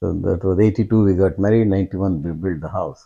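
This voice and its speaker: A man's very deep, low, dark and mellow voice with an Indian accent. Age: old. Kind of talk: interview answer.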